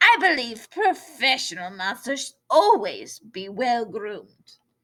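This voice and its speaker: Fairly slow delivery in a put-on character voice, its pitch swinging very widely. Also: woman, high pitch for a woman. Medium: read story. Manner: refined, polite.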